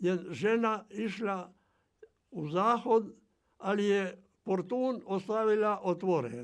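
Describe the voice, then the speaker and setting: The speaker is a man whose pitch is high. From island of Krk, Croatia. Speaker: retired farmer and transport worker. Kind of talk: oral history interview answer.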